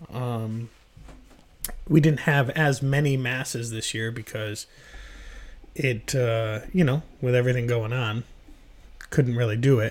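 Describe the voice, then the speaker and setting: Speaking at a fairly slow pace with long, frequent pauses, a man keeps a medium pitch and fairly even intonation. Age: 30s. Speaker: podcast host. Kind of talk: casual chat.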